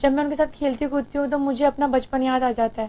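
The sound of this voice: Her voice is high-pitched and her intonation fairly even as this woman talks at a fast pace.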